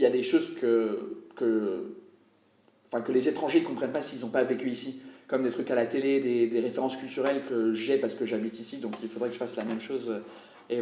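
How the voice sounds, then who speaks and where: In a room with audible echo, a man talks very fast at a medium pitch with fairly even intonation. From England. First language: English (speaking French). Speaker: comedian. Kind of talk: interview. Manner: hesitant, many fillers and repetitions.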